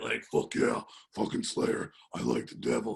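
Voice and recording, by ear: A man puts on a gruff, raspy, growling character voice. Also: moderate pace.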